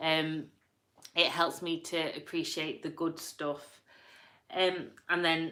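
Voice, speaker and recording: A woman with a strong Yorkshire accent speaks very slowly in a fairly low voice with a bright, sharp tone. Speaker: vlogger. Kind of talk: reading quotes aloud with casual comments.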